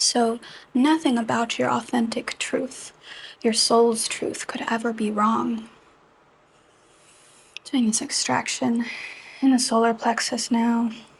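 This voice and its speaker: A woman speaks very slowly in a fairly high, gentle, soothing voice, with a monotone, flat intonation. Long, frequent pauses break up her speech, and there is noticeable background noise. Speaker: Reiki energy healing practitioner. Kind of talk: Reiki session guided narration. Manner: gentle, slow, soothing.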